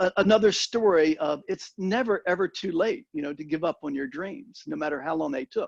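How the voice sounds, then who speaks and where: A man with a high pitch and lively intonation speaks at a fairly quick pace in a dry, close sound with no echo. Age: 70s. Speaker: Vietnam veteran, former high-tech sales leader. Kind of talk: talk to a peer group.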